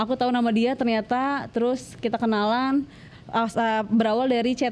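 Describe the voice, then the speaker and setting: Her fairly high voice keeps a fairly even intonation as the woman speaks. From West Java (Bandung, Sundanese). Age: 20s. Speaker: interview guest, domestic abuse survivor. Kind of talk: personal testimony interview. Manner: casual, hesitant with fillers.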